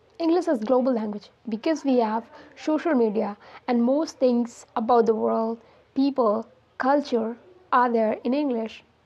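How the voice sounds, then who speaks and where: Speaking fairly slowly in an Indian accent, a woman uses a high pitch and ordinary pitch variation. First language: Hindi. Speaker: English learning YouTuber. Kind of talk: casual talk to camera.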